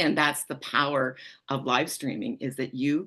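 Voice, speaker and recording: Someone with a Canadian accent speaks at a moderate pace against a quiet background. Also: woman. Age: 60s. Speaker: public speaking coach. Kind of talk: interview.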